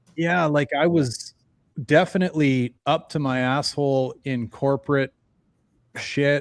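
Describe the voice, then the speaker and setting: A man with a plain, everyday voice and fairly high pitch speaks at a fairly slow pace. The sound is dry and close with no echo, on a very clean recording with a silent background. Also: fairly even intonation. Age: 40s. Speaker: podcast host. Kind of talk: casual chat.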